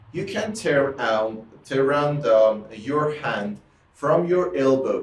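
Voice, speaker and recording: In an Iranian accent, a man talks with lively intonation and a fairly high pitch, over noticeable background noise and audible room echo. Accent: Iranian (Persian). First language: Persian. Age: 30s. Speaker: music teacher. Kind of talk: tutorial. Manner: halting, with many repetitions and fillers.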